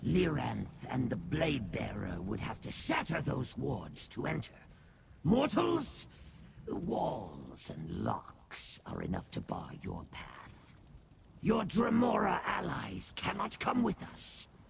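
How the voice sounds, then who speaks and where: A man puts on a character voice at a fairly high pitch. He goes at a fairly slow pace over clear background noise. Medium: video game. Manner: grandiose yet fawning, calls listener master.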